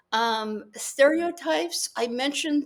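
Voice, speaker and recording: A woman is speaking. She has a West Coast US accent. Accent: General American (West Coast). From California, San Jose. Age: 60s. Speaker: author and international legal consultant. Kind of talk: casual interview chat. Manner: halting, with fillers and restarts.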